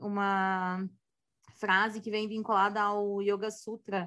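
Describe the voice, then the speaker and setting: A woman's medium-pitched voice, bright and sharp in tone, at a very slow pace. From Santa Catarina, Brazil. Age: 30s. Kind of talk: casual chat. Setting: video call.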